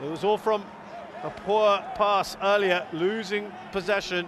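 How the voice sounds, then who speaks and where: Man at a high pitch in an animated, excited tone, over noticeable background noise. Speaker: football commentator. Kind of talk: live sports commentary on a football match, analysing play and goals. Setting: commentary over match footage with replays. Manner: animated, quick-fire play-by-play with excited exclamations at goals; critical, judging the goalkeeper's errors with dry disappointment.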